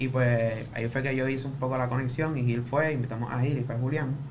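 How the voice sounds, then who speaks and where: With audible room echo around him, a man speaks at a medium pitch. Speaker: podcast production crew member. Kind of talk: casual chat.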